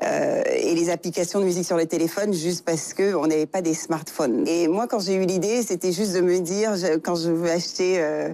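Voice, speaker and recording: Keeping a moderate pace with hardly any pauses, a woman speaks at a fairly low pitch with fairly even intonation. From Senegal. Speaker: tech entrepreneur. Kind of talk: interview. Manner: halting, many fillers.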